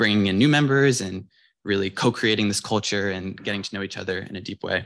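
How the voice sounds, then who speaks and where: A man with an American accent and a plain, everyday voice, fairly low in pitch with fairly even intonation, at a fairly quick pace, in a very clean recording with a silent background. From Cambridge, Massachusetts. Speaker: undergraduate student club leader. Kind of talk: conference talk. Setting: stage with audience.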